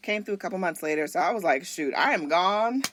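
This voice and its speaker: In a very clean recording with a silent background, a woman with an American accent sounds animated, her pitch swinging very widely. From US South. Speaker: flight attendant. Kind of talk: casual chat.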